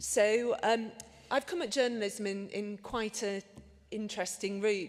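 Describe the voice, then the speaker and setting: Speaking with a Liverpool accent, a woman talks at a moderate pace, keeping a medium pitch and fairly even intonation. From northern England, Liverpool. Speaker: medical journalist. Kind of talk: conference talk.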